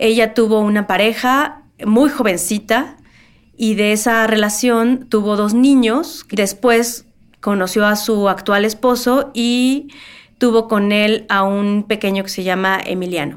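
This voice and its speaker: The recording is very clean, its background silent. A woman talks very slowly at a fairly high pitch, with ordinary pitch variation. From Mexico City. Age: 40s. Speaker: museum worker, relative of a missing person. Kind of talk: interview testimony.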